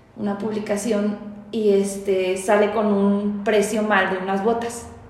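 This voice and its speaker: Amid noticeable background noise and audible room echo, a woman with a fairly high pitch speaks at a very slow pace. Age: 20s. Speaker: community manager. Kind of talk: casual chat.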